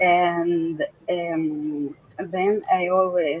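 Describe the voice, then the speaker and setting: The speaker has a Russian accent. Noticeable noise sits in the background. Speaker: doctor and amateur artist. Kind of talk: casual chat. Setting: video call. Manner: halting.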